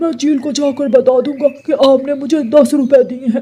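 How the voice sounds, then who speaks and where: A man performs a cartoonish character voice at an extremely high pitch. His intonation is monotone and flat. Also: moderate pace. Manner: hesitant, polite.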